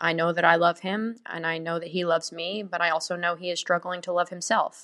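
A woman with an American accent, fairly low in pitch, with a bright, sharp tone, monotone, flat intonation and a fairly quick pace. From New Jersey, US. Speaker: listener sending in an audio question. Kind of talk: recorded listener question.

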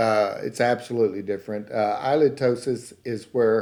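At a moderate pace, a man speaks at a fairly low pitch with a Southern accent. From Texas (Paris, northeast Texas). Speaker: plastic surgeon. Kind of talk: interview.

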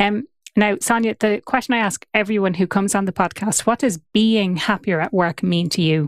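With an Irish accent, a woman speaks at a medium pitch and moderate pace with ordinary pitch variation, recorded dry and close with no echo. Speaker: podcast host. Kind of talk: interview; scripted narration.

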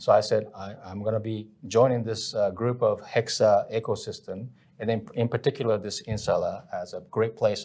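A man speaks at a fairly quick pace in a Japanese accent. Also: quiet background. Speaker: company CEO. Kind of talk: interview. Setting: studio.

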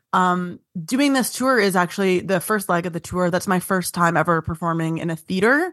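A woman talks at a moderate pace with very even loudness. The sound is dry and close, with no echo. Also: medium pitch for a woman, ordinary pitch variation, quiet background. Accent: Ontario. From Ontario, Canada (Vaughan, north of Toronto). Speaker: stand-up comedian and TV writer. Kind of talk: casual interview chat.

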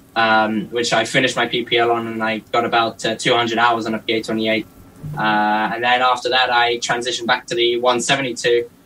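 With monotone, flat intonation at a medium pitch, a man speaks at a moderate pace against noticeable background noise. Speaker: record-setting pilot. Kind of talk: interview.

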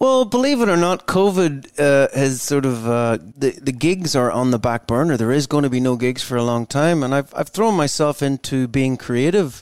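A man with a Northern Irish accent talks at a moderate pace with very even loudness. He shows ordinary pitch variation and leaves hardly any pauses. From Northern Ireland. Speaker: singer and guitarist. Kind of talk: casual chat.

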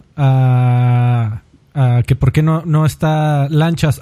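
This man's tone is dark and mellow. There is a somewhat breathy quality to it. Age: 30s. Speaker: video game podcast host. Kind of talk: casual chat.

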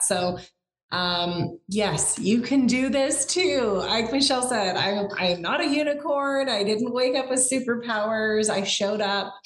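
The speech comes at a fairly slow pace with ordinary pitch variation and audible room echo. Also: woman. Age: 40s. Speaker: former nurse turned entrepreneur. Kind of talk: interview. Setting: call.

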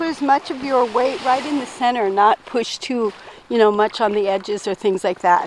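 Noticeable background noise behind a woman with a fairly high pitch, an American accent and a moderate pace. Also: ordinary pitch variation. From Washington, Colville Reservation. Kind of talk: interview. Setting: outdoors.

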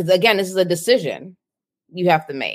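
A woman speaks with an American accent in a normal speaking voice. Her pitch is medium with ordinary variation, and her pace is moderate. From Boston, US. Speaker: nurse entrepreneur and speaker. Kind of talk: interview.

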